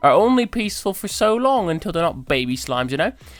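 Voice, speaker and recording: A man speaks in a bright, sharp tone. His intonation is lively. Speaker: gaming video creator. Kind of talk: casual gameplay commentary.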